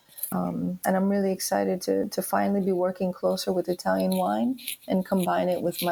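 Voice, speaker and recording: A woman talks at a fairly quick pace with hardly any pauses. Her loudness stays very even. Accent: New York. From New York. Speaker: wine importer. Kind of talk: interview.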